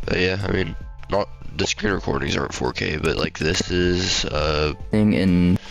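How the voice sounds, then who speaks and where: A man speaks with ordinary pitch variation, the sound dry with no echo and faint music in the background. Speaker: tech hobbyist youtuber. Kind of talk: casual screen-recording commentary. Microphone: studio mic.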